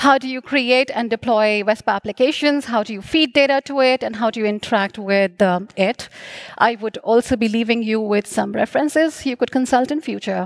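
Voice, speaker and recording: Over a quiet background, a woman speaks at a fairly quick pace with ordinary pitch variation. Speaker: conference speaker. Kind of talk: conference talk. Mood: friendly, slightly hurried. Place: stage. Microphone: headset.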